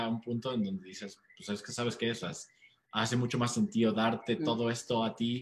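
Here a man talks at a fairly quick pace in a medium pitch. He has an unremarkable speaking voice. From United States. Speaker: startup co-founder and CEO. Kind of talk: interview.

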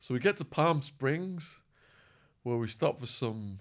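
A man with an English accent, on a very clean recording against a silent background. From England. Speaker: true crime youtuber and former drug trafficker. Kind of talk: casual interview chat.

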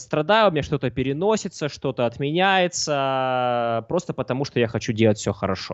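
A man's ordinary speaking voice at a medium pitch, with lively intonation and a moderate pace. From southern Russia, Mozdok. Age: 20s. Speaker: poker coach and streamer. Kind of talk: casual interview. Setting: live stream.

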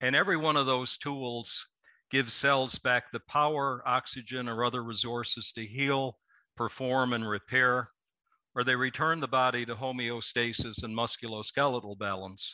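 With a bright, sharp tone and fairly even intonation, a man speaks at a medium pitch and moderate pace against a quiet background. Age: 60s. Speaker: company executive. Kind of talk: interview.

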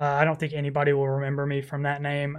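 The man's voice has a fairly high pitch. The background is quiet. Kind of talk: casual solo podcast intro monologue. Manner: filler-heavy, casual, profane.

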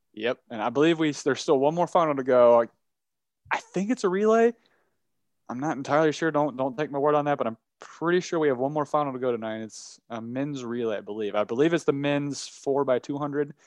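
In a dry, close recording with no echo and a quiet background, a man speaks very fast in a fairly high pitch. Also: ordinary pitch variation. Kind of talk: live commentary over a race, improvised. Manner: excited, breathless, urgent, coaching the runner aloud.

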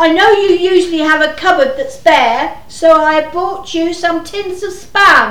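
With audible room echo, a put-on character voice of fairly bright tone moves at a fairly slow pace with lively intonation. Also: woman, extremely high pitch for a woman.

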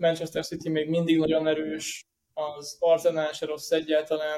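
A man's voice sits at a fairly high pitch. He speaks fairly slowly, with monotone, flat intonation. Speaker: football news page editor and owner. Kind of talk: casual chat. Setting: studio.

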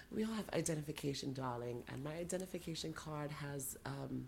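A woman speaks in a very deep, low pitch with vocal fry. Her intonation is lively and her pace moderate. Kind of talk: casual chat.

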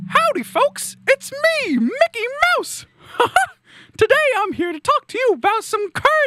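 A put-on character voice at an extremely high pitch, broken by long, frequent pauses. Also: moderate pace. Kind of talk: folksy greeting.

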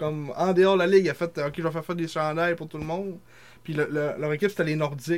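Fairly even intonation carries this man's fairly high-pitched voice at a very fast pace. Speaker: sports podcast co-host. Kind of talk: casual chat; reading aloud.

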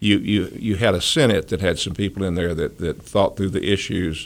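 With an Appalachian accent, a man speaks in a very deep, low pitch. His pitch variation is ordinary. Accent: Appalachian Southern US. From North Carolina mountains (Boone). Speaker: former politician and lawyer. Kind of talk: radio interview.

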